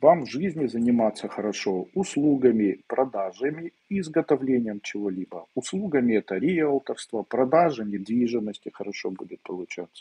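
Delivery is moderate in pace with hardly any pauses. Both loudness and pitch swing widely, the pitch very widely. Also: man. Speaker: esoteric teacher answering viewers' questions. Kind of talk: live webinar Q&A, answering questions. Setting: live stream video webinar. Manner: conversational, direct, confident. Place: home room. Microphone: earbuds.

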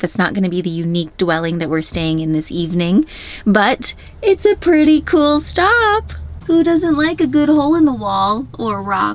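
A woman speaks at a moderate pace, her voice dry with no echo. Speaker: travel vlogger. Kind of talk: casual vlog chat. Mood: cheerful, excited. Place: car.

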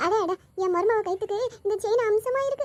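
Putting on a squeaky character voice, a woman speaks fairly quickly in a dramatic tone at an extremely high pitch, the sound dry and close with no echo. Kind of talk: cartoon comedy voice acting. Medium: cartoon. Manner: dramatic, muttering to herself.

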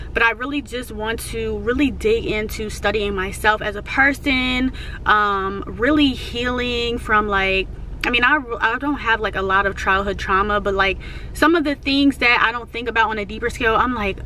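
At a moderate pace, a woman speaks with ordinary pitch variation. The sound is dry with no echo, with light background noise. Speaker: vlogger. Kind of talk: casual vlog chat. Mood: reflective, earnest. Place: car. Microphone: phone near.

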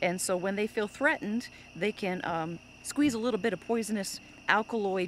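Dry with no echo, a woman's voice comes through over light background noise. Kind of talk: nature presenter commentary. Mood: cheerful and enthusiastic. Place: street. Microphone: phone near.

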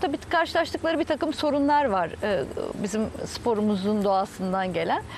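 A woman's fairly high voice moves through very wide pitch swings at a moderate pace, with a dry sound with no echo and light background noise. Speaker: sailing federation president. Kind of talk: TV interview. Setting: outdoors by the sea. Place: garden. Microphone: lapel.

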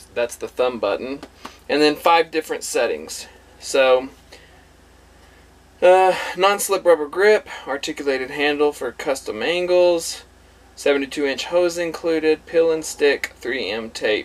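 The speaker moves at a fairly slow pace with ordinary pitch variation and long, frequent pauses. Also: man. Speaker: RV owner reviewer. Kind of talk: product unboxing tutorial. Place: home room. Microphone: camera far.

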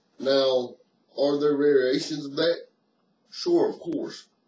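Very slow and flat in a monotone, a man speaks at a fairly high pitch with audible room echo. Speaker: martial arts instructor. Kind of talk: tutorial. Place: home room. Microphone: webcam.

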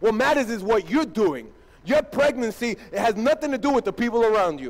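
Extremely high in pitch, a man talks with an animated tone. His intonation is lively and his pace moderate. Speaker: pastor. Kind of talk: sermon. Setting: church. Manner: animated, emphatic preacher in full flow, rhetorical questions and punchy repetition. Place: church.

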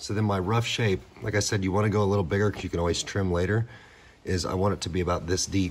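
A man talks at a very fast pace with a very deep, low pitch and fairly even intonation. Light background noise can be heard. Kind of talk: tutorial. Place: workshop. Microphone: phone near.

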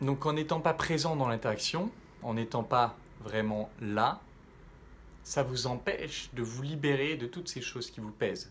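The speech moves at a fairly slow pace with long, frequent pauses. The voice is somewhat breathy, with ordinary pitch variation and light background noise. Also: man. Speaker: self-development coach. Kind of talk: vlog monologue to camera. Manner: casual, hesitant with fillers. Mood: calm, reflective.

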